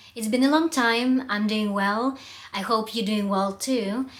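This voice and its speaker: A woman speaks with a Russian accent. Her pitch is fairly high. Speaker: public speaking coach. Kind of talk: vlog monologue. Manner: halting, with fillers.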